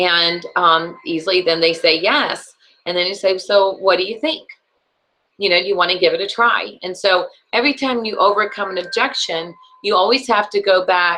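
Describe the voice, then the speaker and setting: A normal speaking voice from a woman, pitched in the middle range, with ordinary pitch variation. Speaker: sales trainer. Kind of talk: training session.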